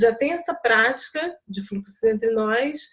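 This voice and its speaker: This woman's voice is fairly high in pitch, with ordinary pitch variation. Her delivery is very slow. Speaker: project participant. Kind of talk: group video call discussion. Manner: soft-spoken.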